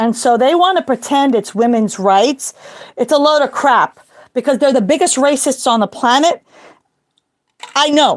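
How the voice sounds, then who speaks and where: A woman talks at a high pitch. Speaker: religious commentary video host. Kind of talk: casual monologue. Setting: walking around the house.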